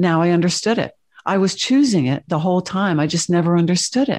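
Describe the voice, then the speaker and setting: An ordinary speaking voice with lively intonation against a quiet background. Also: woman. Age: 50s. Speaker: spiritual channeler and author. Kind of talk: interview conversation.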